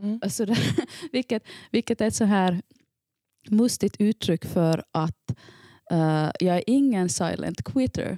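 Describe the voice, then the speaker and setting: Speaking at a fairly slow pace with long, frequent pauses, a woman of medium pitch uses lively intonation and a dark, mellow tone at very even loudness, in a dry, close recording with no echo. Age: 40s. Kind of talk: casual chat.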